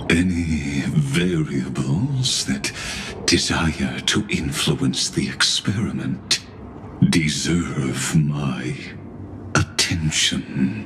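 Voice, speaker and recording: Someone speaks in a put-on character voice at a very slow pace. Loud background noise runs behind the speech. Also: man. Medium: video game. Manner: formal, measured, cryptic.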